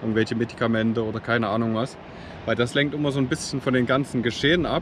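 A man is speaking. The sound is dry with no echo, but background noise is noticeable. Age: 30s. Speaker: travel vlogger. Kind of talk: vlog tutorial. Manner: halting with frequent fillers. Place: beach. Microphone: phone near.

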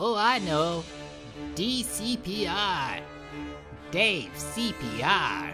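The voice is a put-on character. Its pitch falls in the middle range. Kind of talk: comic overacting. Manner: excitable, scheming.

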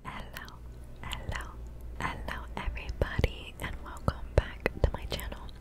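A woman whispers at a fairly slow pace. Her tone is relaxed. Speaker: ASMR gaming creator. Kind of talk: ASMR gaming let's play, whispered casual talk. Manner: whispered, soft, relaxed. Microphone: studio mic.

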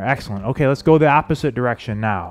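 Over faint background music, a man delivers his words at a fairly quick clip. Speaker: fitness instructor. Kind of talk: workout instruction. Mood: upbeat, light joking. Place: studio. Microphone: headset.

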